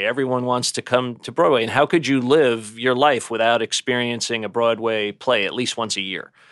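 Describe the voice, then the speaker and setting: A man's medium-pitched voice in a New York accent at a moderate pace, with a dry, close sound and no echo. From New York City (Bay Ridge, Brooklyn). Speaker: luxury real estate broker. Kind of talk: interview.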